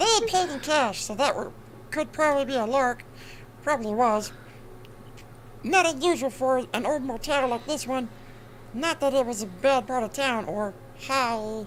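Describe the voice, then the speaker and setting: The voice moves at a moderate pace with lively intonation. Long pauses come often, over clear background noise. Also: woman, high pitch for a woman. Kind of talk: crime novel read aloud. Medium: game stream. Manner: wry, commenting asides.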